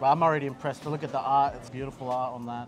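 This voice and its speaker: A man's voice with clear music in the background. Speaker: food vlogger host. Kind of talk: casual food review chat. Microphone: lapel.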